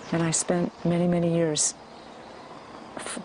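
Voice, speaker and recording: A woman speaks with an American accent at a very deep, low pitch. Noticeable background noise can be heard. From US West Coast, San Francisco. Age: 60s. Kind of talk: testimony.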